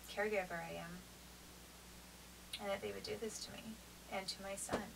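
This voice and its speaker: A woman speaks at a medium pitch, with noticeable background noise and audible echo in the room. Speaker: vlogger describing custody dispute. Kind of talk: unscripted monologue to camera. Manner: slower than usual, halting.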